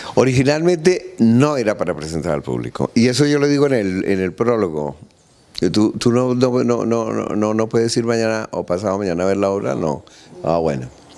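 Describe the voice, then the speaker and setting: A man speaks at a moderate pace in a fairly low, dark, mellow voice. His pitch swings very widely. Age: 60s. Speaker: playwright and comedian. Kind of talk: interview. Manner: halting.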